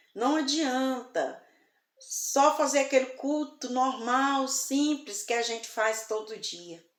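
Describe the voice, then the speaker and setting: Speaking very slowly, a woman with a high pitch is heard amid audible room echo. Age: 60s. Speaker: evangelical preacher. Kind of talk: sermon. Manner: soft-spoken.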